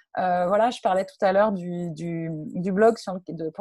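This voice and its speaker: A woman's somewhat breathy voice with a dark, mellow tone, at a fairly slow pace. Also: very clean recording, silent background. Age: 30s. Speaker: freelance digital marketing consultant. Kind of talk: interview. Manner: halting, many repetitions.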